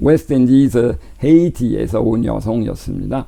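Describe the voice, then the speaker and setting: Against noticeable background noise and audible room echo, a man talks at a moderate pace with a medium pitch and ordinary pitch variation. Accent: Quebec. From Quebec, Canada. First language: French (speaking Korean). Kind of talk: lecture. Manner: halting.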